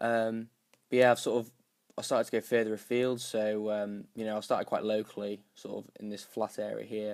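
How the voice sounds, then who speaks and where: This man talks at a fairly quick pace. His fairly low voice stays monotone and flat. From northern England, North Yorkshire. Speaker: YouTuber and cyclist. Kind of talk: casual vlog explainer. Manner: hesitant, many fillers.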